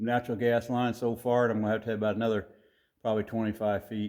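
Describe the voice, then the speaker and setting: A man speaks with an American accent. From US Midwest, rural. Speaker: DIY workshop vlogger. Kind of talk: casual vlog talk. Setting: workshop, up on a ladder. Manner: rambling, casual with hesitations.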